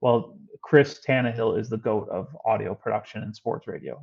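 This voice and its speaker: Speaking with an American accent, a man keeps his voice at a medium pitch. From Chicago, South Side. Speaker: former sports radio producer. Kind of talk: podcast interview. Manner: fast.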